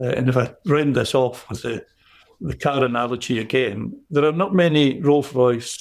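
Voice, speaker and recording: A man's medium-pitched voice in a Scottish accent, at a moderate pace with ordinary pitch variation. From Scotland. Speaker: business coach. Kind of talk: interview answer.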